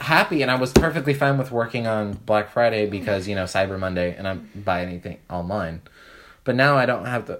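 With a normal speaking voice, a man talks at a fairly quick pace and a fairly low pitch, with ordinary pitch variation. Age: 20s. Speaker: podcast co-host. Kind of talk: casual chat.

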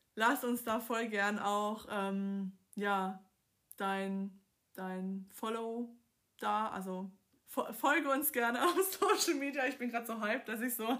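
A woman talks at a very slow pace. Her fairly high voice rises and falls in an ordinary way. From southern Germany, Swabia. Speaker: podcast host, life coach. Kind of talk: casual monologue. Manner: animated.

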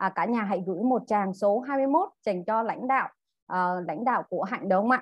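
Against a quiet background, a woman speaks at a fairly high pitch. Her intonation is lively. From Vietnam, Central Highlands (Dak Lak). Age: 30s. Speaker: direct-sales distributor. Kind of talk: training talk to audience. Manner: halting, many fillers.

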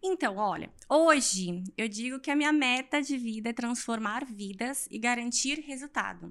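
A woman's fairly high-pitched voice, fairly slow in pace, with lively intonation. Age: 20s. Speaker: fitness influencer and physical education graduate. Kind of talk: casual interview chat. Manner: animated.

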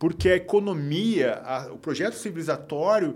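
This is a plain, everyday voice. The intonation is lively. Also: man. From Porto Alegre, Brazil. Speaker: writer and poet.

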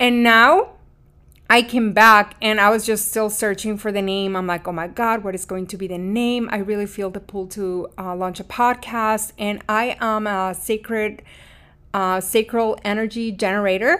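A woman with a Mexican accent, fairly high-pitched and bright and sharp in tone, at a moderate pace on a very clean recording with a silent background. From Mexico. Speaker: podcast host, spiritual coach. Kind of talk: scripted intro then casual personal monologue. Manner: warm, earnest, emotive.

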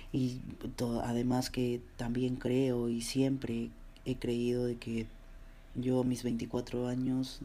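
A man speaks at a very slow pace with a dark, mellow tone and a medium pitch. His intonation is monotone and flat. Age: 20s. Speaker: graphic designer, podcast host. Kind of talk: solo personal monologue. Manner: hesitant, many fillers and repeated words.

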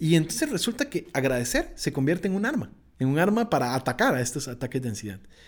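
In a Costa Rican accent, a man talks very fast at a fairly high pitch with very wide pitch swings. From Costa Rica, Pacific coast (Esparza). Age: 20s. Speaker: nature photographer. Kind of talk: interview conversation.

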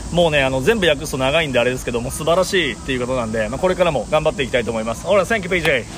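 Over noticeable background noise, a man talks at a very fast pace with hardly any pauses. His pitch is fairly high and his intonation lively. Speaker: Japanese-language sports announcer. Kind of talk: casual bilingual interview. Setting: Olympic venue.

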